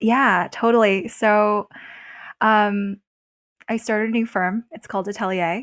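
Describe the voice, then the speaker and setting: On a very clean recording with a silent background and a dry, close sound with no echo, a woman speaks at a fairly slow pace in a fairly high pitch, with fairly even intonation, big swings in loudness, and long, frequent pauses. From Beijing, China, then Pittsburgh US. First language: Chinese. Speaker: venture capital investor and writer. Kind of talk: casual podcast interview.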